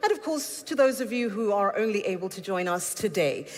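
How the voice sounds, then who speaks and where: Over noticeable background noise and audible room echo, a woman at medium pitch speaks at a moderate pace with lively intonation. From South Africa. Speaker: event host. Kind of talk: conference hosting. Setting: stage with audience. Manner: formal.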